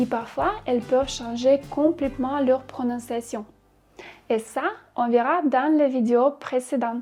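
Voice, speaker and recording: A woman speaks very slowly at a high pitch with ordinary pitch variation. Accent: slight Russian. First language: Russian (speaking French). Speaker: Russian language teacher. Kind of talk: tutorial.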